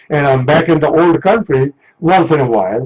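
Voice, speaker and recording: A man talks at a moderate pace with fairly high pitch and ordinary pitch variation. His voice is somewhat breathy, and the sound is dry and close with no echo. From India, Punjab. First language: Punjabi. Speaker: author and court interpreter. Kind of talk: radio interview. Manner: halting, many fillers.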